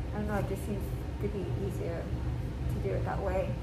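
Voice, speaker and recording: A woman's voice over loud background noise. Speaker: cleaning vlogger. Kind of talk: casual vlog chat. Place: home room. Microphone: camera far.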